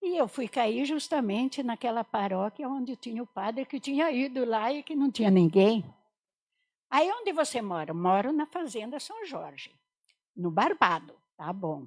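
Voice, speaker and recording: A woman's high voice with very wide pitch swings at a fairly slow pace, dry and close with no echo, on a very clean recording with a silent background. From Portugal, moved to Brazil at nine. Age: 70s. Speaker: religious sister. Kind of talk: vocational testimony in a podcast interview. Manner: conversational, frequent fillers.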